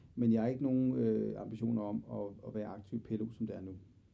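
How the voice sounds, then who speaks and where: This man talks at a very fast pace. His voice sits at a medium pitch and has a dark, mellow tone. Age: 40s. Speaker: general practitioner. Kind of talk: interview. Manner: halting, many fillers.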